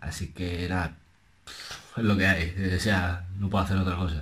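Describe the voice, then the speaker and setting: A soft-spoken man talks in a very deep, low pitch. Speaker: music reaction youtuber; reaction youtuber. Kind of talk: reaction video commentary; casual reaction commentary. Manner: soft-spoken, speaking low; animated. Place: home room. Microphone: webcam.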